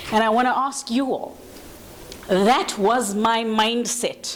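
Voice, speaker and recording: There is audible room echo and noticeable background noise as a woman speaks in a fairly high voice. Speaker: panel facilitator. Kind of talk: panel discussion moderation. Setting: conference room with audience. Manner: loud.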